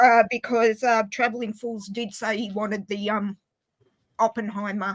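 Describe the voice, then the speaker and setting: A woman with an Australian accent, fairly high pitch, and monotone, flat intonation at a moderate pace. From Australia, Inverell, northern New South Wales. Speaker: livestream guest. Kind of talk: casual chat.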